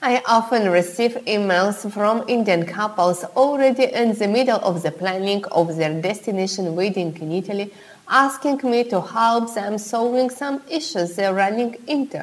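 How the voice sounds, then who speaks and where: The pace is moderate. There are hardly any pauses. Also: woman, ordinary pitch variation. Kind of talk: tutorial. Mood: warm, friendly. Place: home room.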